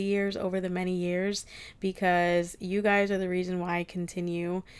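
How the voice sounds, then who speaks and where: A woman with an American accent at a moderate pace on a very clean recording with a silent background. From New Jersey. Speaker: beauty salon owner and podcaster. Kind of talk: solo podcast monologue.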